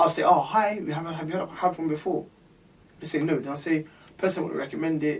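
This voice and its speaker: A man's fairly high-pitched voice at a very fast pace, with fairly even intonation. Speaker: bartender podcast co-host. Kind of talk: casual chat. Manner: halting.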